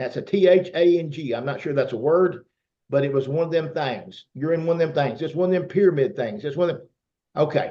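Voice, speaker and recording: Speaking with a Southern US accent, a man uses a dark, mellow tone at a fairly high pitch, with ordinary pitch variation and a fairly quick pace. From US South. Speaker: network marketer. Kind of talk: testimony.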